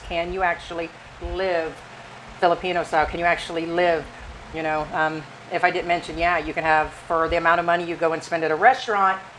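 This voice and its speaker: A woman with an American accent at a very fast pace, monotone and flat, over noticeable background noise. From United States. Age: 50s. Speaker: expat living in the Philippines. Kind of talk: casual talk to camera, vlog discussion.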